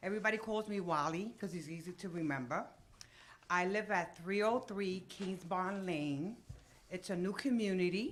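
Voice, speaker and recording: Speech comes at a moderate pace with ordinary pitch variation. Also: woman, medium pitch for a woman. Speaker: resident speaking at public meeting. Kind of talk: public comment at council meeting. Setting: council meeting with microphone. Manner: loud.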